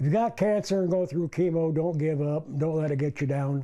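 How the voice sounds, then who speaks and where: This man has a fairly high voice with a dark, mellow tone and an American accent. He talks at a moderate pace. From Indiana, US Midwest. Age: 70s. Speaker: cancer patient. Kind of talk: interview.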